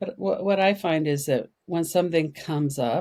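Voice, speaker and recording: This woman's voice has a dark, mellow tone. Her pitch varies in an ordinary way. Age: 70s. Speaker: trauma and meditation teacher. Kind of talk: interview. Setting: podcast interview.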